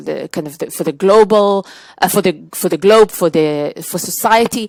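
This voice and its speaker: The voice, with an Israeli accent, has a dry, close sound with no echo on a very clean recording with a silent background. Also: woman. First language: Hebrew. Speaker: tech trade executive. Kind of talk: podcast interview.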